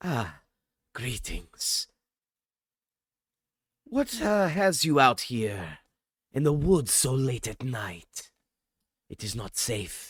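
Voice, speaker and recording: A man's put-on character voice at a medium pitch, very slow, with long, frequent pauses. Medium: actual play. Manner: polite, formal.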